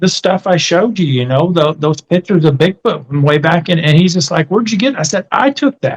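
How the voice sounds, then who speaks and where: With very even loudness and dry, close sound with no echo, a man speaks at a fairly quick pace in a high pitch with lively intonation. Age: 60s. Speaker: retired monster truck driver. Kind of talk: casual chat. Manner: halting.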